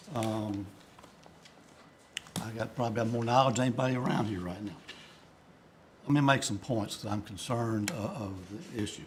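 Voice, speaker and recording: Amid noticeable background noise and audible room echo, a man speaks at a moderate pace and medium pitch with ordinary pitch variation and long, frequent pauses. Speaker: state school board member. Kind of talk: board meeting discussion. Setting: board meeting room. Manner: halting, many fillers. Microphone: too quiet, not speaking into microphone.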